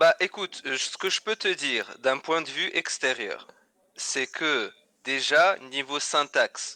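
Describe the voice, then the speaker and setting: A man with a slight Tunisian accent speaks at a very slow pace in a dry, close sound with no echo. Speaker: English teacher. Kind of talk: casual chat. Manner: halting, many repetitions.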